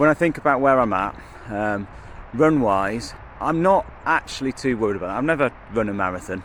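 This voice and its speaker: Though he speaks at a fairly quick pace, this medium-pitched man leaves long, frequent pauses. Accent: English Midlands. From English Midlands, Kenilworth. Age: 40s. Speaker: vlogger. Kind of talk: casual vlog monologue. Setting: outdoors. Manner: hesitant, many fillers.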